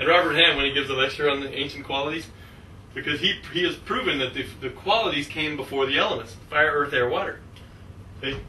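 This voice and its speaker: A man's fairly high voice at a very fast pace, over noticeable background noise. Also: ordinary pitch variation. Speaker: astrologer. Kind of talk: astrology class lecture.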